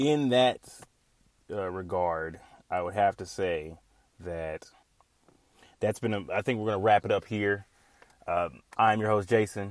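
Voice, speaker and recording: A man pauses long and often, his pitch varying in an ordinary way. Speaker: podcast host. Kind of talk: casual solo monologue. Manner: fast talker, excitable.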